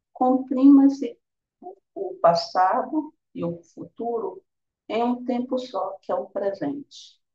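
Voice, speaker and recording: Over background music, a woman talks very slowly at a fairly high pitch with very wide pitch swings, the sound dry and close with no echo. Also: big swings in loudness. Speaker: meditation teacher. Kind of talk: guided meditation.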